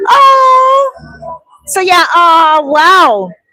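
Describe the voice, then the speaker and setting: A woman with an extremely high pitch, an animated tone and a raised, projected voice. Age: 50s. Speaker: vlogger and real estate agent. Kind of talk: casual chat. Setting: live stream.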